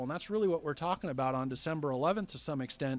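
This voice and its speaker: A very clean recording of a man's voice against a silent background. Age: 40s. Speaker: finance manager at car dealership. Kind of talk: interview.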